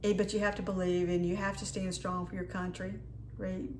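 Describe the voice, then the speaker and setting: A woman's fairly low voice with a dark, mellow tone and an American accent, in monotone, flat intonation, with audible room echo. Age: 60s. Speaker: lifestyle vlogger. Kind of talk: casual haul video talk. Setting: home kitchen.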